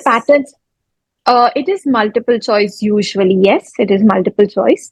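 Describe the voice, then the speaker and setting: A woman with an Indian accent speaks at a moderate pace in a fairly high pitch, with ordinary pitch variation. The sound is dry and close, with no echo. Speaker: dentist, oral pathologist. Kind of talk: interview answer.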